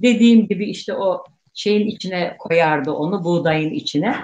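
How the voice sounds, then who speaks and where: Somewhat breathy, with a dark, mellow tone, a woman speaks in a medium pitch at a moderate pace with lively intonation. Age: 60s. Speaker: guest, elder Circassian cheesemaker's relative. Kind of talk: casual interview reminiscence.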